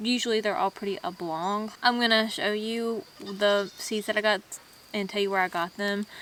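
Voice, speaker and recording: With a Southern US accent, a woman speaks at a moderate pace in a medium pitch with fairly even intonation. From US South. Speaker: homesteading vlogger. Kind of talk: casual tutorial vlog. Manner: casual, halting in places.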